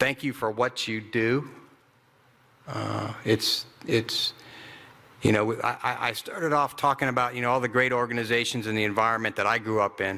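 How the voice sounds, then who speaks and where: Fairly even intonation from a medium-pitched man, with noticeable background noise. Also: moderate pace. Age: 60s. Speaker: retired army ranger, veterans nonprofit director. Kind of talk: keynote speech. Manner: halting, repetitive.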